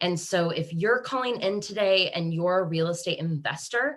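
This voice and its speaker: In a Kansas accent, a woman talks at a fairly slow pace with a fairly low pitch and ordinary pitch variation. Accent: American (Kansas), noticeable. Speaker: webinar host, real estate agent. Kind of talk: webinar presentation. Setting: video call.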